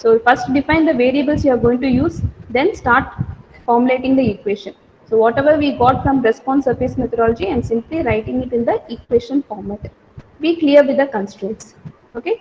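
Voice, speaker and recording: A woman speaks in a high voice at a fairly quick clip. Her pitch rises and falls in the usual way. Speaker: lecturer. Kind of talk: lecture. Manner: fast.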